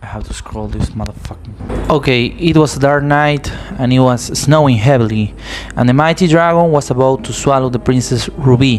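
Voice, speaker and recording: A man with an Argentine accent speaks at a moderate pace and medium pitch, with ordinary pitch variation. Noticeable background noise is present. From Argentina. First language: Spanish. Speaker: amateur writer and video creator. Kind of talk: reading aloud.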